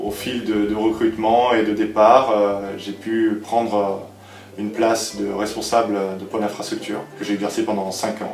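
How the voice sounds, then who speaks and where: Amid noticeable background noise and audible room echo, a man with a fairly low pitch speaks at a fairly slow pace. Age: 30s. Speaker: sales director. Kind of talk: interview testimony. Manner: halting, many hesitations.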